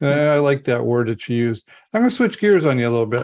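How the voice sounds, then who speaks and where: A man with an unremarkable speaking voice, medium in pitch, at a fairly quick pace against a quiet background. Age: 60s. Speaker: podcast host, business advisor. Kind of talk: podcast interview.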